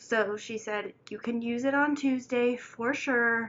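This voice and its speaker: A plain, everyday voice. The intonation stays fairly even. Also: woman. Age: 20s. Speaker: single mother and college student. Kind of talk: casual storytime talk to camera.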